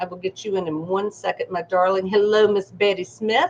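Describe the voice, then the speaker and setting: A woman at a fairly quick pace and medium pitch, with a slight Southern US accent. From US South. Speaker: psychic medium. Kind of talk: live stream readings. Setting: live stream. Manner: animated.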